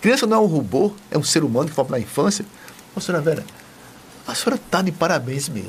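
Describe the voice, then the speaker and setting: Talking at a very fast pace with lively intonation, a man is heard over noticeable background noise. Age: 70s. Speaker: TV presenter. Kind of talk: TV interview. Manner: enthusiastic.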